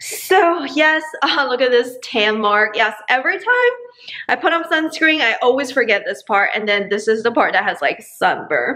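High female speech, delivered at a moderate pace. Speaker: vlogger. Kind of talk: casual vlog chat. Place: kitchen. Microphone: phone near.

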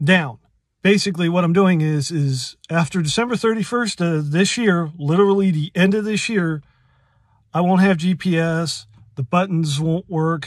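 A man speaks at a high pitch and a fairly slow pace. The sound is dry with no echo, against a quiet background. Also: ordinary pitch variation. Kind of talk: casual tutorial explanation. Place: car. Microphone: phone near.

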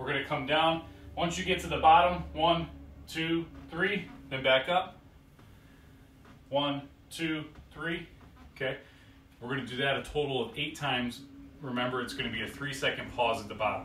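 With audible room echo and light background noise, a man talks at a moderate pace, with ordinary pitch variation and long, frequent pauses. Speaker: fitness coach. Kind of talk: tutorial. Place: home room. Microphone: camera far.

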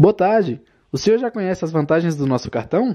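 Here is a man with an unremarkable speaking voice. His intonation is lively. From Brazil, Federal District (Samambaia). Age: 20s. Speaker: YouTuber. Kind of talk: personal storytelling narration.

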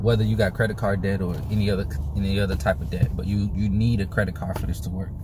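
Noticeable background noise sits under a man's voice. His fairly low pitch comes through dry, with no echo. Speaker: personal finance vlogger. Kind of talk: casual explainer vlog. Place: car. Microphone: phone near.

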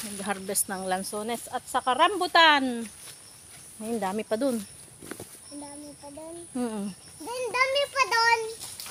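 A woman's raised, projected, high voice at a fairly slow pace, with very wide pitch swings, big swings in loudness, long frequent pauses and noticeable background noise. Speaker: vlogger. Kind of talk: casual vlog narration. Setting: outdoors. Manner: animated.

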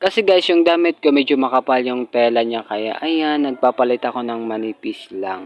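In an ordinary speaking voice, a man of medium pitch talks at a moderate pace with lively intonation and hardly any pauses. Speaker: vlogger. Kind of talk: casual vlog narration. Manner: chatty, upbeat.

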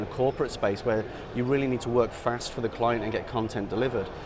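With noticeable background noise behind him, a man speaks at a very fast pace. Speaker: product sales director. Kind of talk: product demo explanation. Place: hall.

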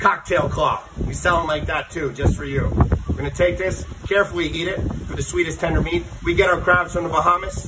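Over noticeable background noise, the voice moves at a fairly quick pace in a monotone, flat intonation. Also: man. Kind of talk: tutorial. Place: open country. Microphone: phone near.

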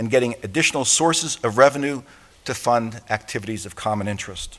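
With ordinary pitch variation, a man delivers his words at a fairly quick pace. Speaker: international police organization secretary general giving an opening address. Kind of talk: formal conference opening address. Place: hall. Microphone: podium.

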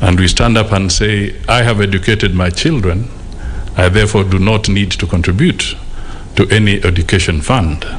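A man is speaking with ordinary pitch variation. Light background noise sits behind him. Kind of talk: formal speech. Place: hall. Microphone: podium.

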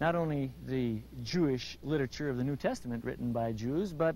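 Lively in intonation, a man speaks at a moderate pace in a dry sound with no echo. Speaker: guest. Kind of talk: interview answer, explanation. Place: open country.

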